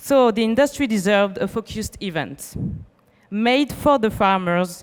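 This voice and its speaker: Speaking with a French accent, a woman with a fairly high pitch uses lively intonation at a moderate pace. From France. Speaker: event organizer. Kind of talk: welcome speech read aloud. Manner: reading from script.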